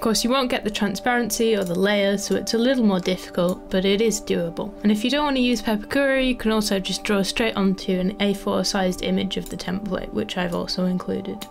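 Fairly quick, near-pauseless speech from a woman at medium pitch, fairly even in intonation, with music in the background. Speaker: papercraft designer. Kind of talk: tutorial.

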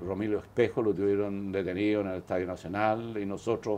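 A fairly low-pitched male voice, dark and mellow in tone, at a moderate pace. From Chile. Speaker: biochemist; interviewee. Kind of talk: interview; interview answer. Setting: studio. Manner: halting, many repetitions. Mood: reflective, calm recollection. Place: office.

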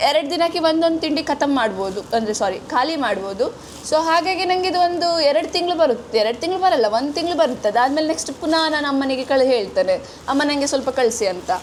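A high-pitched woman's voice with lively intonation amid noticeable background noise. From coastal Karnataka, Udupi-Mangalore. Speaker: vlogger. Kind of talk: casual vlog.

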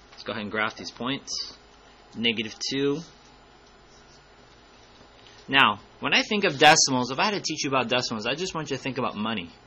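A man speaks at a fairly quick pace with big swings in loudness. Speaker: math teacher. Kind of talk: tutorial.

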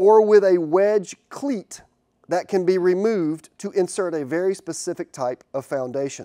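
A man with a high voice and a dark, mellow tone, at a moderate pace against a quiet background. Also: ordinary pitch variation. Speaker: beekeeping educator. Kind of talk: tutorial. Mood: friendly, enthusiastic. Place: workshop. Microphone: lapel.

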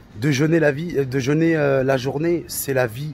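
With faint music in the background, a man speaks at a moderate pace with ordinary pitch variation, the sound dry with no echo. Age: 30s. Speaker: coaching client. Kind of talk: testimony. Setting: on vacation. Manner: animated; halting. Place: street. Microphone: phone near.

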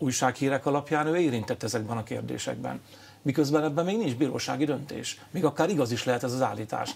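A man's very fast speech with vocal fry and ordinary pitch variation. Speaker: politician guest. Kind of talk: interview answer. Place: studio. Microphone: lapel.

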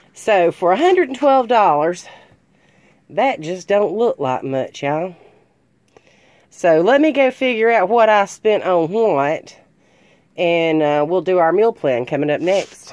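A woman speaks slowly at a fairly low pitch. Her intonation is lively and her tone slightly mellow.

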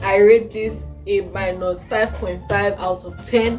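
A woman talks while faint music can be heard behind her. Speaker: food taste-test vlogger. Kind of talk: casual vlog chat. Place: home room.

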